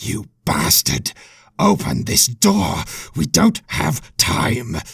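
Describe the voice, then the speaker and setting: A man puts on a character voice, growling and raspy, fairly low-pitched, at a very slow pace. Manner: angry, urgent.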